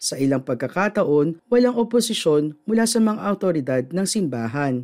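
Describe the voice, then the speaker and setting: A man speaks at a moderate pace. His pitch is high for a man. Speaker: news presenter. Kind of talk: formal newsreading, steady studio-style delivery of budget figures and statements. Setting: studio. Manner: formal; measured, even-paced, neutral and businesslike with little emotional color.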